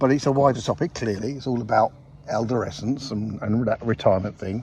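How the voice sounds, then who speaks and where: The speaker is a man. There is a somewhat breathy quality to his voice. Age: 60s. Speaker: podcast co-host. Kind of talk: casual chat. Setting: outdoors.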